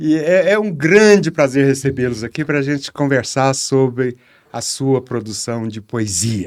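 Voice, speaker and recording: A man's plain, everyday voice, medium in pitch, at a fairly slow pace with lively intonation. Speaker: journalist, podcast host. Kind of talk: interview host talk.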